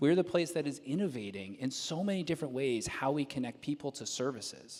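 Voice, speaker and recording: Lively intonation marks this man's fairly high voice, which carries a slight Southern US accent. He speaks at a fairly quick pace. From moved around a lot, partly New York and US South. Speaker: civic nonprofit leader, award honoree. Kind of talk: panel discussion. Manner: casual, many fillers and repeated words.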